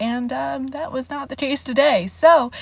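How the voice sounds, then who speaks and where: Soft-spoken and somewhat breathy, a woman is heard. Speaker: vlogger and party princess performer. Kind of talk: casual vlog chat. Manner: filler-heavy, uses like a lot.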